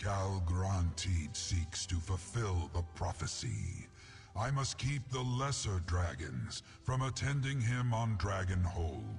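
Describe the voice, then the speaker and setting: A man performs a put-on character voice with a very deep, low pitch. Clear music plays in the background. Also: fairly slow pace. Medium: video game.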